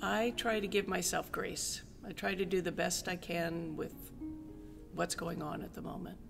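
Clear music plays in the background. A woman with a fairly low voice speaks at a moderate pace. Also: ordinary pitch variation. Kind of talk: interview answer. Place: empty room.

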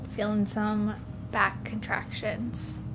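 Very slow talking from a woman, noticeable background noise underneath. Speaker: vlogger in labor. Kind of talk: casual vlog chat.

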